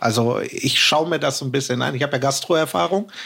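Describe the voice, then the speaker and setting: Here is a man with an ordinary speaking voice, pitched fairly high. His intonation is lively. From Hamburg, northern Germany. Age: 40s. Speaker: podcast guest telling own fraud story. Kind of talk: personal storytelling in casual chat.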